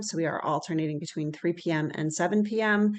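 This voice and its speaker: Over a quiet background, a woman with a fairly low pitch speaks at a fairly quick pace and with fairly even intonation. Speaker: early childhood network facilitator. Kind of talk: presentation in an online meeting. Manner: fast.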